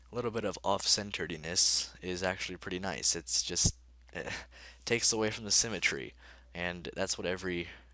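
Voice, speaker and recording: A man talks at a fairly quick pace with ordinary pitch variation. Vocal fry runs through his voice. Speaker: gaming youtuber. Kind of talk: let's play commentary. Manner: halting, many fillers; casual.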